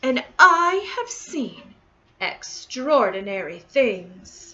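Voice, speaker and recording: A woman puts on a character voice pitched high. She speaks at a very slow pace. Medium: read story. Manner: mysterious, boastful.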